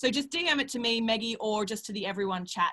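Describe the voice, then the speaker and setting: An Australian accent marks this woman's speech, delivered at a very fast pace. Her pitch is high and her tone bright and sharp. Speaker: CEO and panel moderator. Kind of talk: webinar panel moderation.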